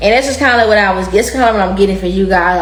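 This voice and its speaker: A woman talks in an American accent. Noticeable background noise and audible room echo surround her. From Texas, Dallas. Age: 20s. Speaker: tarot reader. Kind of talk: casual tarot reading monologue. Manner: animated.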